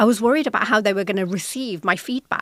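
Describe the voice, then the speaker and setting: A woman with a British accent speaks at medium pitch with lively intonation. The recording is very clean, silent in the background, dry and close with no echo. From Britain. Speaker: podcast host, corporate executive. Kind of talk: solo podcast talk.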